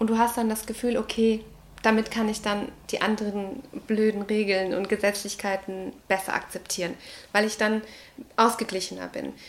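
A woman with a fairly high-pitched voice speaks at a moderate pace in a monotone, flat intonation, leaving long, frequent pauses. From Ecuador. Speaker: early childhood educator and artist. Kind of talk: interview monologue. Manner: hesitant, many fillers.

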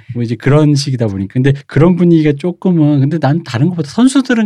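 Lively intonation marks a man's fairly quick delivery. His tone is dark and mellow. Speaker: culture critic. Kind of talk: casual chat. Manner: animated.

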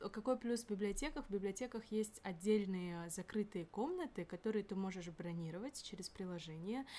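A woman talks at a moderate pace with a medium pitch. Her tone is dark and mellow, with ordinary pitch variation. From Kyrgyzstan. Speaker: university student. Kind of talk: casual chat.

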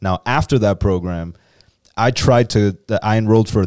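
In a very clean recording with a silent background, a man with an unremarkable speaking voice talks at a fairly low pitch with ordinary pitch variation. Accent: American. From US, Dominican family. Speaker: podcast co-host. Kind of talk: casual chat. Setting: studio.

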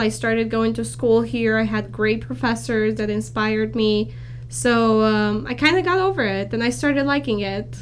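Noticeable background noise and audible room echo surround a woman speaking with a Romanian accent. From Romania (Bucharest), moved to California at 16. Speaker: accounting student. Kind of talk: interview.

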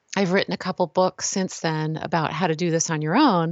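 Using a normal speaking voice, a woman with an American accent talks at a moderate pace and a fairly low pitch. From California. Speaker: author and healthcare design expert. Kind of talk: casual interview.

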